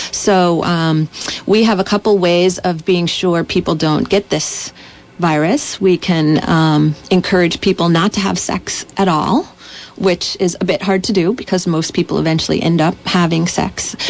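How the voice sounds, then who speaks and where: Over noticeable background noise, a woman with a fairly low pitch talks with fairly even intonation and very even loudness. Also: fairly slow pace. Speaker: physician. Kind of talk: radio interview.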